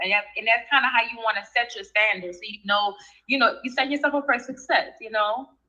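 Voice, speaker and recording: In a New Orleans accent, a woman talks at a fairly quick pace with a fairly high pitch and ordinary pitch variation. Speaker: rap artist. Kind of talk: radio interview.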